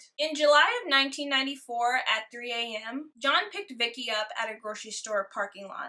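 A raised, projected voice delivers lively intonation in a solemn, dramatic tone against a quiet background. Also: woman. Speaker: true crime YouTuber. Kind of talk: true-crime narration, scripted-sounding storytelling with a casual intro. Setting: home recording, alone. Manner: solemn, dramatic and judgmental in the case telling; chatty, friendly and casual in intro and outro. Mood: sassy, disgusted asides.

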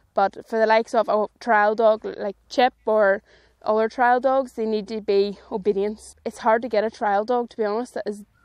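A woman with a Northern Irish accent speaks in a flat monotone at a moderate pace, the sound dry with no echo against a quiet background. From Northern Ireland. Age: 20s. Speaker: sheepdog trainer. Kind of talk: casual interview while working dog. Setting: outdoors in a field.

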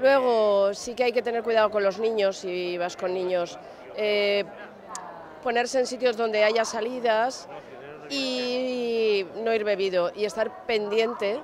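Crowd noise fills the background as a woman speaks at a very slow pace. The sound is dry, with no echo. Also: ordinary pitch variation. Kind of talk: interview answer. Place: street. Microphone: handheld.

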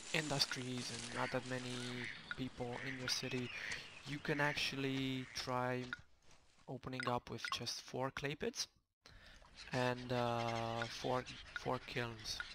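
A quiet man speaks at a very slow pace with long, frequent pauses. His medium pitch comes with a monotone, flat intonation and a bright, sharp tone. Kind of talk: video game commentary. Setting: home microphone recording. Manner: quiet, low volume.

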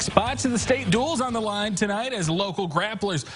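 Over music in the background, a man with a high pitch talks at a moderate pace, his pitch swinging very widely. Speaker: TV sports anchor. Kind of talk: sports news reading of wrestling highlights. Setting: TV studio. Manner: brisk, clipped play-by-play delivery; energetic, rattling off scores and weights.

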